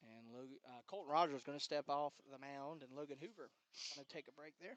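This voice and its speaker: A man with an American accent talks at a fairly quick pace with a fairly high pitch and ordinary pitch variation, in a dry, close sound with no echo. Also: big swings in loudness. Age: 60s. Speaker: play-by-play announcer. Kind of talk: live commentary. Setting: press box behind home plate at a baseball game.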